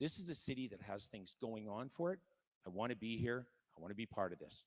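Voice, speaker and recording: A man with a Canadian accent talks at a very fast pace, his medium-pitched voice carrying lively intonation. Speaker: mayoral candidate. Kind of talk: political candidate forum.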